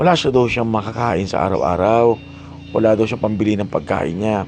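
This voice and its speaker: There is noticeable background noise as a man speaks at a medium pitch and a moderate pace. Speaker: vlogger. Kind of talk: vlog narration. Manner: loud.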